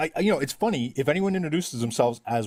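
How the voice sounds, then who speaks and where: A man with a fairly high pitch and vocal fry talks at a very fast pace. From Ireland. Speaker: live stream discussion participant. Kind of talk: casual debate in live stream. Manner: animated.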